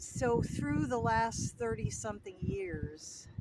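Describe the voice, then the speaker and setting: Someone with an American accent speaks at a very slow pace against noticeable background noise. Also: woman. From US Northeast, New Jersey. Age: 60s. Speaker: home restorer and vlogger. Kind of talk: casual vlog Q and A. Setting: outdoors at the beach.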